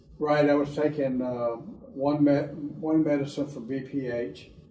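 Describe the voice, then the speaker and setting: Over audible room echo, a man speaks with a dark, mellow tone, fairly high pitch and fairly even intonation. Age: 70s. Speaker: patient, sports coach. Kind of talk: testimony.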